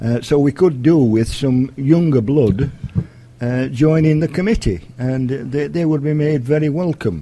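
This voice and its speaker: A man speaks with a South Yorkshire accent at a fairly slow pace. His pitch is fairly high, with ordinary variation. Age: 70s. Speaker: community group vice chairman. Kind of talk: radio interview. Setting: school. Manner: halting.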